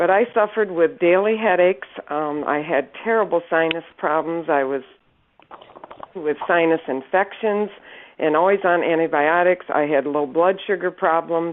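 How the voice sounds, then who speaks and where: This woman has a normal speaking voice with a fairly low pitch. Her pitch variation is ordinary. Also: moderate pace. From Northern Michigan. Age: 60s. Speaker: product distributor giving testimonial. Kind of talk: testimony.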